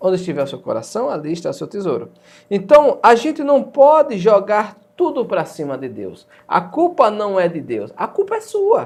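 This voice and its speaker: This man's loudness swings widely while he keeps up a moderate pace. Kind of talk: religious talk show.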